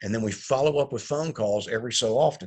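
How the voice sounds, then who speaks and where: A man talks in a normal speaking voice at a medium pitch, with ordinary pitch variation, a fairly quick pace and a quiet background. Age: 60s. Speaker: company CEO and recruiting consultant. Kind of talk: webinar presentation. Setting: online webinar.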